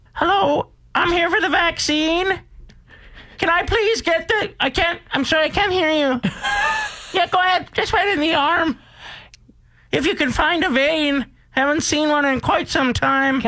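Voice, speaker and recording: Putting on a character voice, a man speaks at an extremely high pitch and a moderate pace. His delivery has long, frequent pauses. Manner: hard of hearing, wry.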